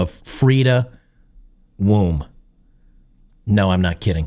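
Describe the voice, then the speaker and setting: A man speaks in a plain, everyday voice with an American accent, a fairly low pitch and lively intonation. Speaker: political commentary YouTuber. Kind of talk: casual news commentary monologue.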